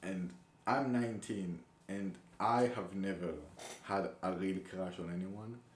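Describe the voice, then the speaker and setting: A man with a non-native accent and a very deep, low pitch, ordinary pitch variation, a fairly slow pace, long, frequent pauses and audible room echo. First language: not English. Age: 20s. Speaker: young soldier vlogger. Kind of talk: casual vlog monologue. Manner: halting, many fillers and restarts.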